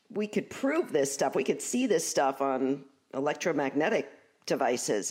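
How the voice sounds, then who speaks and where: Very deep and low for a woman, her voice carries an American accent, lively intonation and very even loudness at a moderate pace. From Brooklyn, New York.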